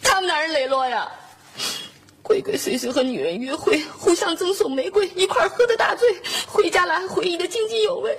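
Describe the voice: In a put-on character voice, a woman pitches extremely high with a fairly bright tone and lively intonation. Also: fairly quick pace.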